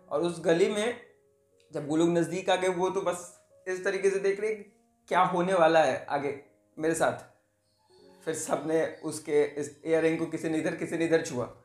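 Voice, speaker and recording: A man's high-pitched voice at a fairly slow pace, ordinary pitch variation, audible room echo and faint background music. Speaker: storyteller. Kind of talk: storytelling. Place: home room. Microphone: phone near.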